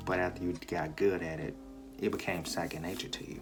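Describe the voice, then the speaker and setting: Music plays in the background as a soft-spoken man with a very deep, low pitch talks at a fairly quick pace with lively intonation. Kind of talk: casual advice talk to camera. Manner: soft-spoken, quiet.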